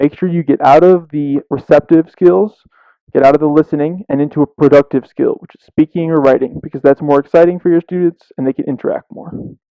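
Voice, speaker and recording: This speaker has an American accent and a moderate pace. The intonation stays fairly even. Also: man. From US Midwest, Chicago. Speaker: teacher trainer. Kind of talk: lecture.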